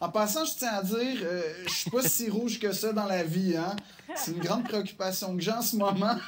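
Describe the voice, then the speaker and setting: Recorded with audible room echo and noticeable background noise, a man with a Quebec accent speaks at a high pitch with ordinary pitch variation. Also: moderate pace. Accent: Québécois French. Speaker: comedian. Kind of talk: interview.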